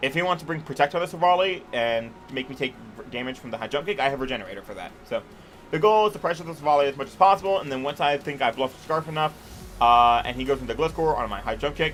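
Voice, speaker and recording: With music in the background, a man speaks very fast in a fairly high voice with lively intonation. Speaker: competitive gaming coach, video creator. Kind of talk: casual teambuilding commentary. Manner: stuttering over words.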